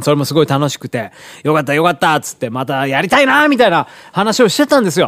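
A man's very fast speech at a fairly high pitch, with very wide pitch swings. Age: 40s. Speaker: radio host and pianist. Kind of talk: casual monologue. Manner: rambling with many fillers.

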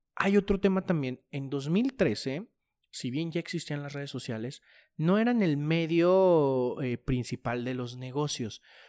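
A man with an unremarkable speaking voice, lively intonation and a fairly slow pace, on a very clean recording with a silent background. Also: fairly high pitch for a man, dry, close sound with no echo. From Mexico, La Laguna region. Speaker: podcast host. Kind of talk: interview.

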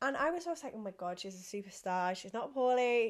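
High-pitched, a woman in an English accent talks at a fairly quick pace with very wide pitch swings. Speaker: podcast host. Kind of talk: casual chat. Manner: animated; fast.

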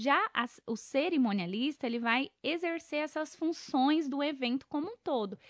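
Recorded dry and close with no echo over a quiet background, a woman speaks at a moderate pace with lively intonation. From Brazil, Mato Grosso do Sul (Coxim). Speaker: event planner and journalist. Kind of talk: interview.

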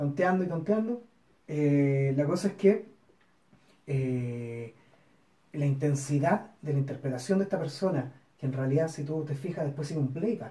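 The speaker has a Chilean accent and a fairly slow pace. Long, frequent pauses break up the speech. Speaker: film podcast co-host. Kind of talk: casual chat.

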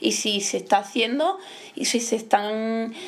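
Her words come out very slowly. The woman's pitch is fairly high. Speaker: family member. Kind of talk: casual chat.

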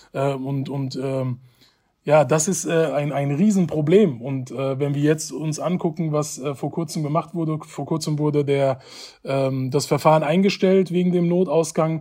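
Over a silent background in a very clean recording, a man speaks at a fairly high pitch and a fairly slow pace, his tone dark and mellow and his intonation fairly even. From Germany, Hanau (Hesse). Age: 20s. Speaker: education initiative project coordinator. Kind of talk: interview.

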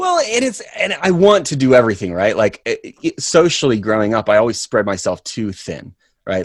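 A man with an American accent talks at a very fast pace with ordinary pitch variation. The recording is very clean and silent behind him, dry and close with no echo. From US South. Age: 30s. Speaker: actor. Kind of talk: casual chat.

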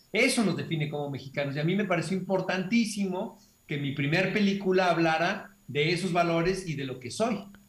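This man talks at a fairly quick pace with a high pitch and ordinary pitch variation, and audible room echo surrounds him. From Mexico, Hermosillo, Sonora. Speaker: film director. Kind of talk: interview.

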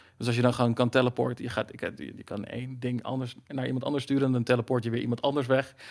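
A man's medium-pitched, monotone voice, very fast, with flat intonation and hardly any pauses. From Netherlands, Zeeland. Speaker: dungeon master. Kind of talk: casual chat.

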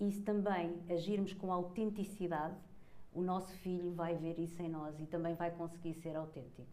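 Speaking with a European Portuguese accent at a moderate pace, a woman uses a fairly low pitch and fairly even intonation, with audible room echo and noticeable background noise. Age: 40s. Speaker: conscious parenting coach. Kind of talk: casual chat.

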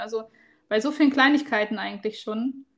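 A woman with a high pitch talks at a fairly quick pace with fairly even intonation. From rural Germany. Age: 30s. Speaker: travel podcast co-host. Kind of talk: casual chat. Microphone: new microphone.

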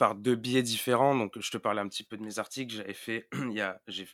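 The intonation is monotone and flat in a very clean recording with a silent background. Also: man. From Marseille, southern France. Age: 20s. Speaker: sports journalist. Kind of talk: podcast interview. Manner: hesitant, many repetitions.

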